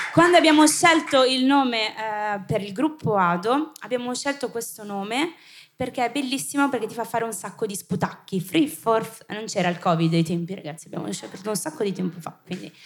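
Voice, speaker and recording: A woman with a fairly high pitch talks at a fairly quick pace in an animated, somewhat breathy way, her pitch swinging very widely. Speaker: youth group leader. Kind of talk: event introduction. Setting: church service with audience.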